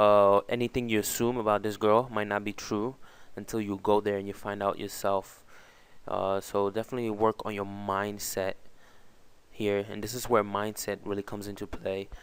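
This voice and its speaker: In a non-native accent, a man with fairly low pitch speaks at a moderate pace in a monotone, flat intonation, on a very clean recording with a silent background. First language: not English. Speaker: dating advice youtuber. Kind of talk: tutorial. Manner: halting, many fillers.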